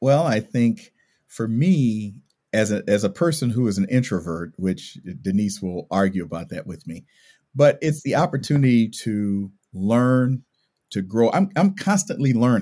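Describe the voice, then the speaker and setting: A man's medium-pitched, dark, mellow voice with very wide pitch swings at a moderate pace, on a very clean recording with a silent background. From California. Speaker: university administrator. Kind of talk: interview.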